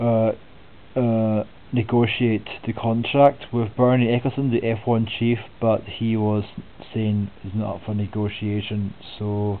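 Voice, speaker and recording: A man speaks in a Scottish accent at a fairly slow pace. His pitch is medium and his intonation is monotone and flat. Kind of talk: soft-spoken sports preview narration. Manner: soft-spoken, relaxed.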